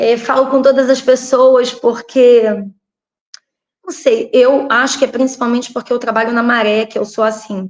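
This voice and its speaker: A woman's high-pitched voice stays monotone and flat. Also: moderate pace. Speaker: local political candidate and teacher. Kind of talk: interview.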